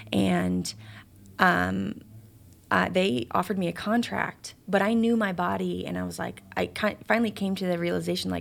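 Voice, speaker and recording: A woman with an American accent at a moderate pace, in a very clean recording with a silent background. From Chicago. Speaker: former pro soccer player. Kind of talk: interview.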